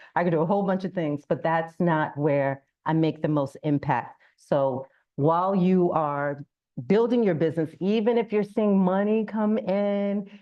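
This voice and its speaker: Here is an unremarkable speaking voice from a woman, pitched fairly low. She keeps a moderate pace with ordinary pitch variation. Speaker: business consultant. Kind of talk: public talk.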